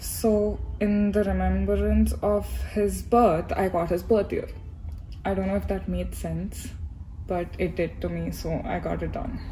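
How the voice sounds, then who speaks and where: With light background noise behind her, a woman speaks in an Indian accent at a fairly slow pace. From India, Hyderabad. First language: Telugu. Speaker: YouTuber, graduate student. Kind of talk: casual Q&A vlog. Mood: relaxed, chatty. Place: hall. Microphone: phone near.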